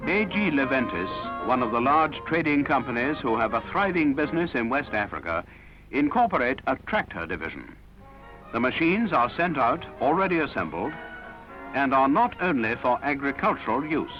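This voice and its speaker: With music in the background, a man at a fairly high pitch talks at a moderate pace, his pitch swinging very widely. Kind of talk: documentary newsreel narration.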